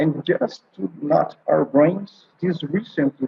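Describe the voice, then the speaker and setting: Somewhat breathy, this man talks with a Brazilian Portuguese accent. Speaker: oncologist and palliative care doctor. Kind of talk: conference presentation. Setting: online conference video call. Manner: halting, many fillers.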